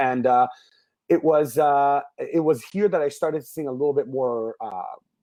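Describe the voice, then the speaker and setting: With a dark, mellow tone, a man speaks in a fairly high pitch at a moderate pace with ordinary pitch variation over a quiet background. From Israel. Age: 30s. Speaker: singer and business coach for musicians. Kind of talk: interview.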